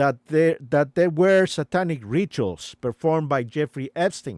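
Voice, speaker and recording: With a non-native accent, a man talks at a fairly slow pace in a dry, close sound with no echo over a silent background on a very clean recording. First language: not English. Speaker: live streamer. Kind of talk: live stream commentary. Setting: live stream. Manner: halting, many fillers.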